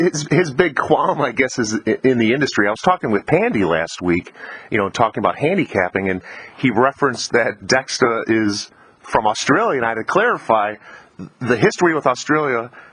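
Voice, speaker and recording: A man with a normal speaking voice, medium in pitch, lively in intonation, at a fairly quick pace. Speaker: podcast host. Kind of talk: interviewer questions.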